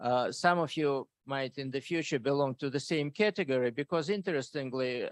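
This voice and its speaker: A man at medium pitch, moderate pace and ordinary pitch variation, in dry, close sound with no echo over a quiet background. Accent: non-native. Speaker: professor. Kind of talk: lecture.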